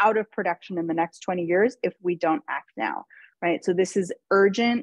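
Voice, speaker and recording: A woman with a plain, everyday voice speaks at a fairly quick pace, with medium pitch and ordinary pitch variation. The sound is dry and close with no echo, over a quiet background. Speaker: nonprofit policy advocate. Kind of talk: webinar presentation.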